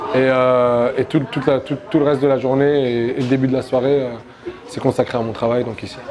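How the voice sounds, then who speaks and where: With crowd noise in the background, a man speaks at a fairly quick pace in a medium pitch, his intonation monotone and flat. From Morocco, Rabat. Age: 20s. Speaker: MMA fighter and coach. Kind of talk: interview. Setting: gym. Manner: halting, many hesitations.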